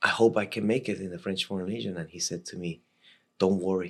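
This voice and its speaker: A man with a Latin American accent, fairly low-pitched, at a fairly quick pace with fairly even intonation, on a very clean recording with a silent background. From Costa Rica. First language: Spanish. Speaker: military veteran. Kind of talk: podcast interview storytelling. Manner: halting, many repetitions and fillers.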